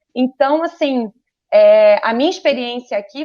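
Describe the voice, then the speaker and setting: This woman's voice sits high in pitch. Her intonation is lively. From Rio de Janeiro, Brazil. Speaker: photographer and communications professional. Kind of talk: interview.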